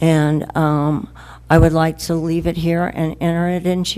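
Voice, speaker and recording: At a moderate pace, a woman speaks with a fairly low pitch. Her intonation stays monotone and flat. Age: 70s. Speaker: tenant speaking at public comment. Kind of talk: public comment at council meeting.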